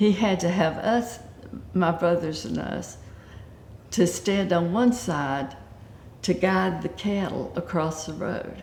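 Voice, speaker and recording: A woman's fairly low voice with a Southern US accent and vocal fry, very slow and broken by long, frequent pauses, with ordinary pitch variation and audible room echo. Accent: Southern US (Georgia). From US South, Georgia (Acworth). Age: 70s. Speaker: retiree interviewed for local oral history. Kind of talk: oral history interview.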